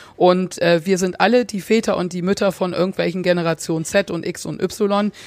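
In a very clean recording with a silent background, a normal speaking voice carries ordinary pitch variation. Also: woman. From England, South Africa and Germany. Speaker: advertising consultant. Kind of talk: interview. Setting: hotel room.

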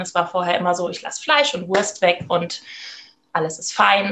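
This woman has an unremarkable speaking voice, medium in pitch, with fairly even intonation at a moderate pace. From Germany, Rhineland-Palatinate. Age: 30s. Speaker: midwife. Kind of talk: interview.

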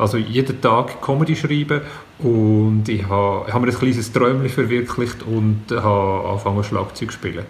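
Somewhat breathy and at a medium pitch, a man speaks at a moderate pace with fairly even intonation, and the room echo is audible. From Switzerland, Zug. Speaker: comedian. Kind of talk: casual chat.

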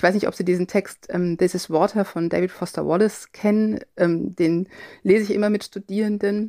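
A woman with a dark, mellow tone and medium pitch speaks in a monotone, flat way at a moderate pace, in a dry, close sound with no echo on a very clean recording with a silent background. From Cologne area, Germany. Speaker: linguistics professor. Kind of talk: interview.

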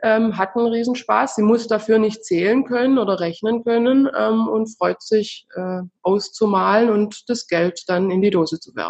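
A woman speaks at a fairly slow pace, her fairly high voice showing ordinary pitch variation. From southern Germany. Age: 30s. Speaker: founder of a financial education project for children, mother. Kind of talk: interview. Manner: halting, many filler sounds.

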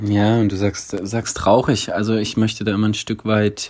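At a fairly low pitch and moderate pace, a man speaks with monotone, flat intonation. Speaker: podcast host. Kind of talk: casual chat.

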